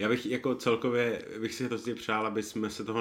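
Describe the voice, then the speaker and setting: A man is speaking. His pace is moderate. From Bohemia, Czech Republic. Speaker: wine podcast host. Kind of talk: casual chat.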